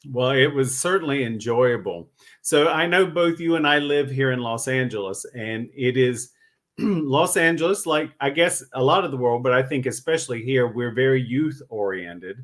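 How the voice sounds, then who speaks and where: This man has a normal speaking voice at medium pitch. He talks at a moderate pace with lively intonation. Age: 60s. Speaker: podcast host. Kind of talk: interview.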